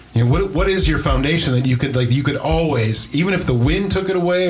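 The speech moves at a fairly quick pace with ordinary pitch variation. Noticeable background noise can be heard. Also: man. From US Midwest, Wisconsin (Green Bay). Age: 50s. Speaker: pastor, podcast host. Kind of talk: casual chat. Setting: church.

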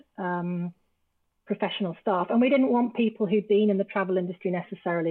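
A woman speaks at medium pitch with an English accent. Her intonation is fairly even. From England. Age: 50s. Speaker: travel business founder. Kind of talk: casual chat.

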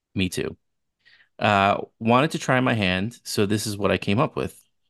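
A man's fairly low-pitched voice with an American accent, at a moderate pace, in a dry, close sound with no echo over a quiet background. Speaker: podcast co-host. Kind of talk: casual chat.

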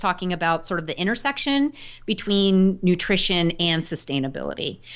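A woman's medium-pitched, normal speaking voice, lively in intonation and fairly quick, on a very clean recording with a silent background. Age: 40s. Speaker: dietitian and farmer. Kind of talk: interview.

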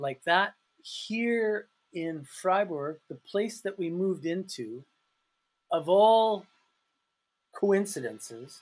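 This is a man speaking. He has a Canadian accent. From Canada, Calgary. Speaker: English teacher and self-published author. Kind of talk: casual interview chat. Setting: remote call from his office.

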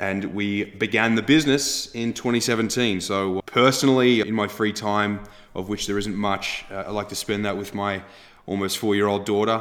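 Here a man with a slight Australian accent speaks at a moderate pace. His voice is fairly low, with fairly even intonation. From Australia, Melbourne. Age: 20s. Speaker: agtech startup founder and CEO. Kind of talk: interview.

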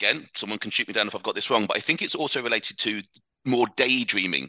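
With a British accent, a man speaks using lively intonation. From England, Leicestershire. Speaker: fitness coach, podcast host. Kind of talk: interview guest, casual chat.

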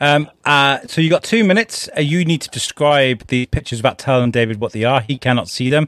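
In a plain, everyday voice, a man talks at a fairly quick pace with lively intonation and a fairly high pitch, the sound dry and close with no echo. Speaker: podcast co-host. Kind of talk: casual chat.

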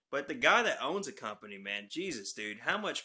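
A man with a Texan accent speaks at a moderate pace in a bright, sharp tone with lively intonation. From North Texas. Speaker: truck company owner's son and trucker. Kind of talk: casual chat. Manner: animated.

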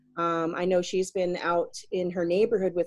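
A woman talks in a normal speaking voice with an American accent. Her pitch is fairly low and her intonation fairly even. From US South (South Carolina). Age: 40s. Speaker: life coach and English teacher. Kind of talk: casual interview chat.

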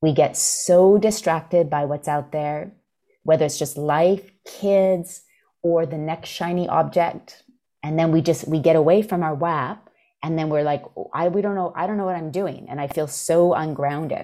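A woman speaks in a dark, mellow tone. Her pitch sits fairly low. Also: fairly even intonation, moderate pace. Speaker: coach hosting group office hours. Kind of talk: group coaching call, casual and supportive. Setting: video call. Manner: warm, encouraging.

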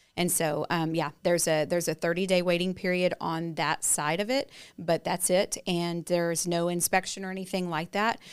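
With a Texan accent, a woman talks at a moderate pace in a fairly low voice, fairly even in intonation with hardly any pauses, on a very clean recording with a silent background. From East Texas. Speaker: home warranty representative. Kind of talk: casual chat.

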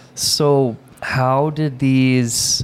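A man speaks over noticeable background noise. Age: 20s. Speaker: podcast co-host. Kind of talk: casual chat.

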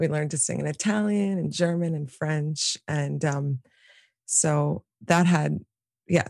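A somewhat breathy voice at a fairly slow pace, with an American accent. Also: woman, dry, close sound with no echo. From New York City, Manhattan. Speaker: singer and visual artist. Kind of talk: casual interview.

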